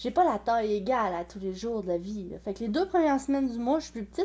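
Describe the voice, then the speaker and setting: A very fast woman with a dark, mellow tone and lively intonation, very cleanly recorded on a silent background. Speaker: sewing and clothing vlogger. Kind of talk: casual vlog monologue. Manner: hesitant, many fillers.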